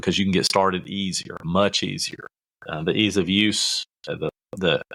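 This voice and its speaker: Speaking at a moderate pace with a Kentucky accent, a man is heard in a dry, close sound with no echo. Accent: Southern US (Kentucky). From US South, rural Kentucky. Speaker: podcast host, marketing coach. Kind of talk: podcast tutorial. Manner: casual, folksy with fillers.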